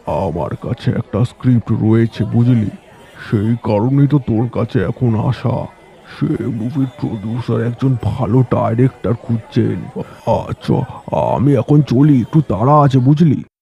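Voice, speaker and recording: A man does a cartoonish character voice at medium pitch with ordinary pitch variation. The sound is dry and close, without echo. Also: fairly slow pace. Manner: chummy, chuckling.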